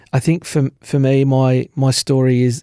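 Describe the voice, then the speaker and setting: A man with an Australian accent speaks at a fairly slow pace, his medium-pitched voice dark and mellow in a dry, close sound with no echo. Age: 40s. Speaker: sales manager sharing mental illness story. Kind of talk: interview testimony.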